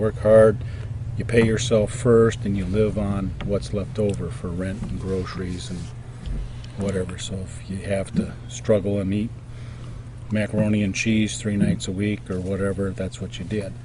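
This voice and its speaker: Amid noticeable background noise and audible room echo, a man talks at a fairly low pitch with lively intonation. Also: moderate pace. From Detroit area, Michigan. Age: 50s. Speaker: interviewee. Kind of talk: interview. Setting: outdoors.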